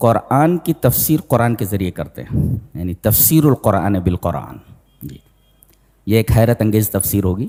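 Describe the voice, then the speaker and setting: The voice is dark and mellow in tone, with vocal fry. Its pitch swings very widely, and the sound is dry and close with no echo. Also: man, fairly low pitch for a man. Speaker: Islamic scholar giving a Quran commentary lecture. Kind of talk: religious sermon, tafseer lecture.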